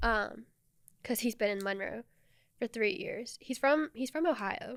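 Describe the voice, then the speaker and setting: A loud woman's voice, high-pitched, with an American accent and a fairly slow pace. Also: lively intonation. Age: 20s. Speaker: podcast co-host, student news reporter. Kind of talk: casual chat. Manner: louder and more proper on camera.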